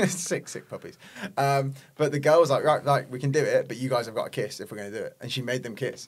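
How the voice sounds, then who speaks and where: Delivered at a fairly quick pace in an English accent, the speech shows big swings in loudness. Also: man. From England. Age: 20s. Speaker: personal trainer and online coach. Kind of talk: casual chat.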